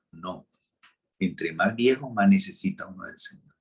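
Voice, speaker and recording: A man is speaking. His pace is fairly slow. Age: 60s. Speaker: pastor. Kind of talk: sermon.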